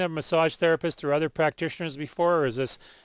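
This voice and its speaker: Ordinary pitch variation comes with a very fast pace of speech. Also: man. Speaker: radio health show host. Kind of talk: radio call-in show. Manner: speaks louder for caller.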